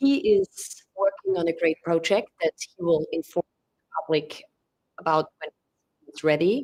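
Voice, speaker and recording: A woman's fairly low voice in a German-speaking European accent, with ordinary pitch variation, a fairly slow pace and a dry, close sound with no echo. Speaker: press conference moderator. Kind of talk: press conference remarks. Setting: press conference room with audience and live stream.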